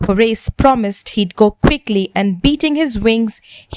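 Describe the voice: The clip consists of plain reading aloud.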